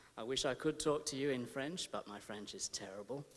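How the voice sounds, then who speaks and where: Here a man talks at a fairly quick pace. His intonation is fairly even, with an Australian accent. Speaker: academic researcher. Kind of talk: conference lecture. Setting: conference hall with audience. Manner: measured, with filler hesitations.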